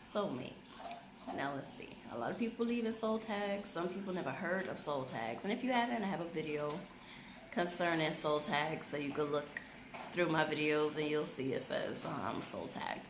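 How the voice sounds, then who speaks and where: A soft-spoken woman at a fairly low pitch and moderate pace, with audible room echo and noticeable background noise. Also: lively intonation. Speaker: YouTube vlogger. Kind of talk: casual chat.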